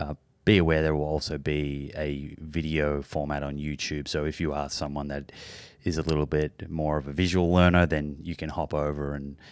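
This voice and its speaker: In a very clean recording with a silent background, a man with an Australian accent speaks at a moderate pace in a very deep, low pitch with monotone, flat intonation. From Australia, Melbourne. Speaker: podcast host. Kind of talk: interview.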